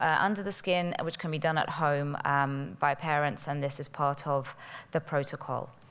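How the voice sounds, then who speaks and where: This woman has a British accent and fairly even intonation at a moderate pace. The recording is very clean, with a silent background. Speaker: pharmaceutical company representative. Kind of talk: conference presentation. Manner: hesitant, many fillers.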